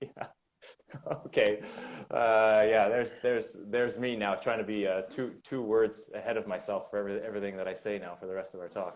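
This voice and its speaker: A man with a Canadian accent talks at a fairly quick pace. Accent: Canadian, taken for American. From Canada. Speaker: winemaker. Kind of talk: casual chat. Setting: Instagram live video stream. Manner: halting, many repetitions.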